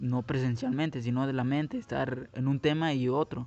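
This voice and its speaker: Music plays behind a man speaking. His medium-pitched voice keeps a fairly even intonation. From Guatemala. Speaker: podcaster. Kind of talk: personal monologue. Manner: halting, many fillers.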